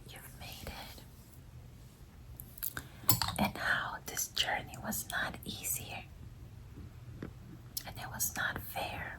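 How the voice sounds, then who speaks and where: Whispered speech, very slow, with clear background noise behind it. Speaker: ASMR creator. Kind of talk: ASMR reiki healing guided visualization. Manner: soft-spoken, whispered, slow.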